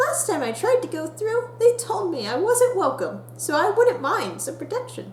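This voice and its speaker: A put-on character voice, squeaky and extremely high, goes at a moderate pace over clear background noise. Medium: solo performance. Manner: impatient, eager.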